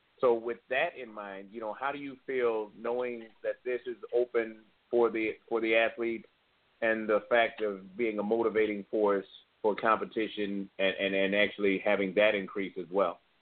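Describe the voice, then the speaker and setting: A man with an ordinary speaking voice talks with fairly even intonation. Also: medium pitch for a man, moderate pace. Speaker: co-host. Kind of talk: casual chat.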